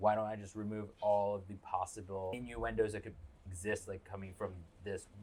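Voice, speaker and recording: At a fairly quick pace, a man with a fairly low pitch speaks in a somewhat breathy, monotone, flat way, with big swings in loudness. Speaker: podcast co-host. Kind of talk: casual chat. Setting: studio in Brooklyn. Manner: dry deadpan delivery.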